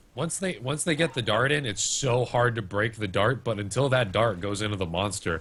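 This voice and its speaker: A man talks at a fairly quick pace with lively intonation. He has an unremarkable speaking voice. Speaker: esports caster. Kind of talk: live commentary.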